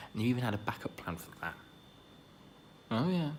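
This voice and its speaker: As a man speaks, his pitch varies in an ordinary way. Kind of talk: ASMR roleplay whispering to a friend. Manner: whispered, soft-spoken.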